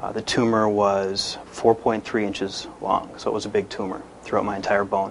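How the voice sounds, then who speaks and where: There is noticeable background noise as a man talks at a moderate pace. His voice is fairly low and monotone, with flat intonation. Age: 20s. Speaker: cancer survivor, amputee. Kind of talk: testimony.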